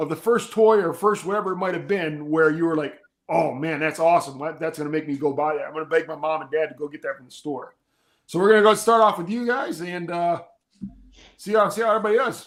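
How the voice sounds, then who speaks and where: At a very fast pace, a man with a high pitch talks in an animated tone, his loudness swinging widely. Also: ordinary pitch variation. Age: 40s. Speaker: podcast host. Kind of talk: casual chat.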